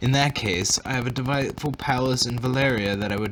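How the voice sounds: The clip features a natural reading voice. Pitch moves up and down in an ordinary way.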